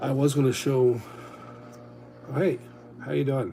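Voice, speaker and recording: A man speaks with ordinary pitch variation. There is audible room echo. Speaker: Lego hobby streamer. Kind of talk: casual livestream chat.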